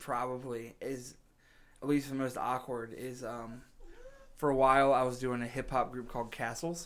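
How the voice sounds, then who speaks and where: Audible room echo surrounds a man speaking at a moderate pace and medium pitch, his intonation fairly even. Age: 30s. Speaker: podcast host, musician. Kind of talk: casual chat.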